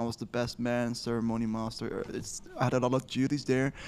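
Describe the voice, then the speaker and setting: A man is speaking at a medium pitch. His pace is moderate. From Netherlands. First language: Dutch. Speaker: podcast co-host, developer. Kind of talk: casual chat.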